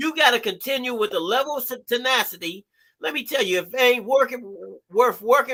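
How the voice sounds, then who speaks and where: A man speaks in a raised, projected voice at an extremely high pitch. His tone is bright and sharp and his pace fairly quick. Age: 60s. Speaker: therapist and life coach, ex-felon. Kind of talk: live stream talk show interview. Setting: live stream. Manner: animated.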